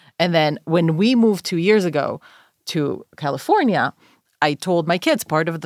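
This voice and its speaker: With an Israeli accent and lively intonation, a woman speaks at a fairly low pitch, her sound dry and close with no echo on a very clean recording with a silent background. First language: Hebrew. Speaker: podcast host, scholar. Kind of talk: casual chat.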